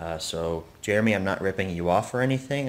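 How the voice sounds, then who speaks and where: A man's very deep, low voice at a fairly quick pace with ordinary pitch variation. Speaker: vlogger. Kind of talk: casual vlog chat. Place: home room. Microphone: phone near.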